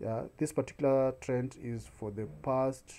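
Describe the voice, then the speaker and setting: The pace is fairly slow. The tone is dark and mellow. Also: man. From Kenya. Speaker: YouTube tutorial creator; online seller tutor. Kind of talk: screen-recorded tutorial. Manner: frequent filler hesitations. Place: home room. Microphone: webcam.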